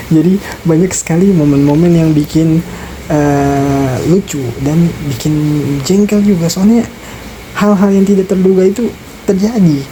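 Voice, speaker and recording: The voice is quiet and moves at a moderate pace. Background noise is noticeable. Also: woman. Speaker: vlogger. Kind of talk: casual vlog talk. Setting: lodging room, rain outside. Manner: quiet, keeping voice down.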